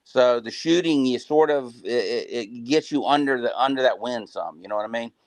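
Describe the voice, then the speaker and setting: A man with an American accent speaks at a moderate pace in a medium pitch, his loudness swinging widely and his speech running with hardly any pauses. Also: fairly even intonation. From US South, South Florida. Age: 60s. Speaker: crappie angler. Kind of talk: live Q&A interview. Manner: halting, many fillers.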